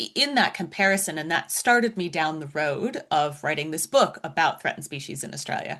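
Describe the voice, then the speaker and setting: Speaking at a fairly quick pace, a woman with an American accent uses a normal speaking voice, fairly low in pitch, with lively intonation. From US, Florida. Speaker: science writer and author. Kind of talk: interview.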